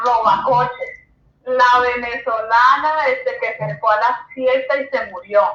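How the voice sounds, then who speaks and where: With audible room echo, a woman speaks at a high pitch. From Colombia. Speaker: educator and journalist. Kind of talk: interview.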